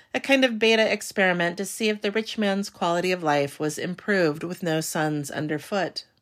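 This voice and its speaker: Over a very clean recording with a silent background, a woman speaks at a moderate pace. She has an ordinary speaking voice, medium pitch and lively intonation. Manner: measured, storyteller-like, wry and formal tone.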